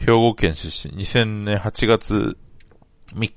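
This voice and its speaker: This man has a normal speaking voice. He talks at a fairly slow pace with a fairly low pitch. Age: 20s. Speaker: sports fan podcaster. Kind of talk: casual solo monologue.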